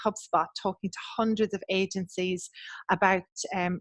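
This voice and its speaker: A woman with an Irish accent speaks at a medium pitch and a moderate pace, her intonation fairly even, in a dry, close recording with no echo and a quiet background. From west of Ireland. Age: 40s. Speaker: agency business coach. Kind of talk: podcast interview. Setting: video call.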